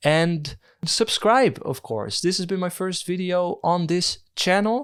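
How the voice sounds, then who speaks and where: A man talks at a fairly slow pace. The background is silent, and the recording is very clean. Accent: Dutch. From Netherlands. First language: Dutch. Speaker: video essayist. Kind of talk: video essay. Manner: hesitant, with fillers.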